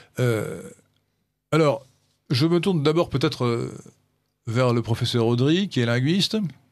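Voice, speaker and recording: Against a quiet background, a man with a medium pitch speaks at a fairly slow pace with lively intonation and long, frequent pauses. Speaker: radio host. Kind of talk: radio discussion. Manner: halting.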